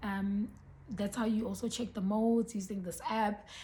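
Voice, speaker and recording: Pitch moves in an ordinary way here. There is some breathiness to the voice. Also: woman. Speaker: beauty and lifestyle vlogger. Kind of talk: casual vlog talk to camera. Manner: hesitant, many ums.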